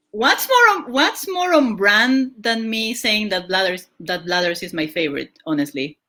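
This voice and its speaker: Loud and fairly high-pitched, a woman talks with very wide pitch swings and hardly any pauses. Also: moderate pace. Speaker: podcast host and streamer. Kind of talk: casual chat.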